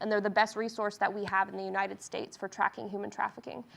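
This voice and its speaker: Talking at a very fast pace, a woman uses a medium pitch with vocal fry. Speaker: medical student presenter. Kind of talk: lecture.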